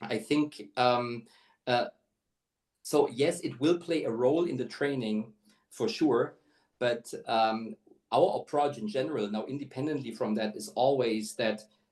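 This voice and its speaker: With a non-native accent, a man talks at a fairly slow pace in a medium-pitched voice, showing ordinary pitch variation and taking long, frequent pauses. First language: not English. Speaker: talent acquisition executive. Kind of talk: webinar interview. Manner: halting, many fillers.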